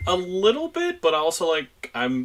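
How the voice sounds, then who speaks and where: This is a man speaking. Noticeable background noise is present. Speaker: streamer and podcast host. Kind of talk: casual chat. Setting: video call. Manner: loud.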